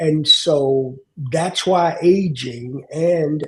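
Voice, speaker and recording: With an American accent, a man talks in a somewhat breathy, fairly high voice with fairly even intonation. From US South. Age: 60s. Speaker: aging advocate. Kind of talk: panel conversation.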